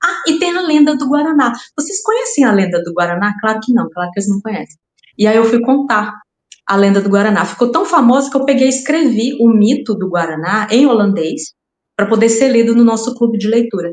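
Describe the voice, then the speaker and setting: At a fairly quick pace, a woman with a fairly high pitch speaks in a somewhat breathy voice with lively intonation. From Brazil, raised in Rondônia. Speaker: crime fiction writer. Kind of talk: podcast interview. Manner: halting, repeats words.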